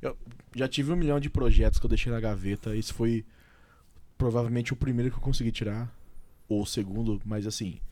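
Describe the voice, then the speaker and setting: With a dark, mellow tone and a medium pitch, a man speaks at a fairly quick pace with ordinary pitch variation and long, frequent pauses. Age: 20s. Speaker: podcast host. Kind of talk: casual chat.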